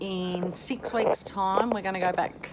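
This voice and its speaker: Noticeable background noise sits behind a woman talking at a moderate pace and medium pitch with ordinary pitch variation. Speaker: vlogger sharing denture experience. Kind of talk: casual video diary. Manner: casual, rambling with self-corrections.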